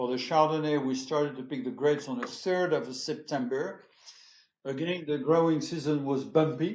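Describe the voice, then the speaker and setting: Fairly even intonation and a moderate pace in a French accent, with audible room echo. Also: man. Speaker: champagne house executive. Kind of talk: interview conversation. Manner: hesitant, many fillers.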